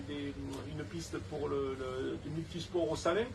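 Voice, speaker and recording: A Provençal accent over noticeable background noise. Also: man. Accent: Provençal Saint-Tropez. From Saint-Tropez, Provence. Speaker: beach club owner and local election candidate. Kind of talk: interview answer. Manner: outspoken, lively.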